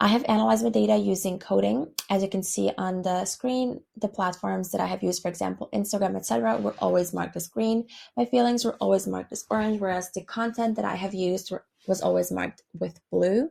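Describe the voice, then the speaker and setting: A woman at a very fast pace on a very clean recording with a silent background. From Serbia, Belgrade. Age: 20s. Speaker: university student. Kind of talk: class presentation. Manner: hesitant, with fillers.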